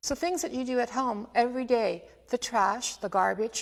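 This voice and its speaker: Vocal fry runs through speech at a moderate pace with ordinary pitch variation. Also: woman. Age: 60s. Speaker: extension health educator. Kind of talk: informational presentation. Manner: casual, conversational.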